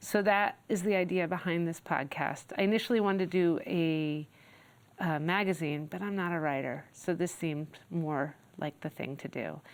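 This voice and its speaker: A woman with an ordinary speaking voice, fairly low pitch, ordinary pitch variation, and a moderate pace, on a very clean recording with a silent background. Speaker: podcast host. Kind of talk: podcast introduction.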